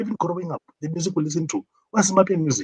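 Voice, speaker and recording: Somewhat breathy and with ordinary pitch variation, a man speaks with a South African accent in a dry, close sound with no echo. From South Africa, Limpopo. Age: 40s. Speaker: caller. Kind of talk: call-in discussion.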